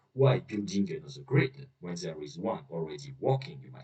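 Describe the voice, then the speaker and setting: A man talks with a non-native accent. His pace is moderate. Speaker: researcher. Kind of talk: scientific poster presentation. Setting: poor recording quality.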